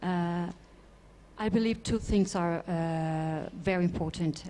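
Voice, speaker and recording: A woman with a non-native accent speaks at a very slow pace. Her voice is fairly low, with a dark, mellow tone. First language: not English. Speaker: space sector panelist. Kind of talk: panel discussion. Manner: halting.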